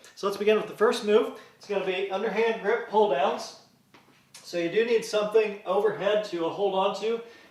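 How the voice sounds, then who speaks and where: A man speaks with fairly even intonation amid noticeable background noise and audible room echo. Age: 50s. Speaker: fitness instructor. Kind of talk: workout tutorial. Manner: casual, with frequent uh fillers.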